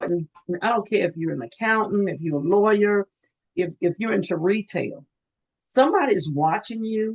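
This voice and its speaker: With ordinary pitch variation, an unremarkable speaking voice proceeds at a moderate pace. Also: woman. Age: 60s. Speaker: nurse and student loan advisor. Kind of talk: interview.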